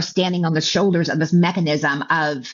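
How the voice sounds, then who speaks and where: In an American accent, a woman speaks at a moderate pace. Her pitch is fairly low. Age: 50s. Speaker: keynote speaker and author. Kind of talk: interview testimony. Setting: recorded interview show. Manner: halting.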